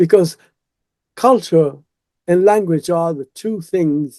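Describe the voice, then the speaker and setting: With a dark, mellow tone and a high pitch, a man speaks at a fairly slow pace in a dry, close sound with no echo. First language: Italian. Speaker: retired professor and translator. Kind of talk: interview. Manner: halting.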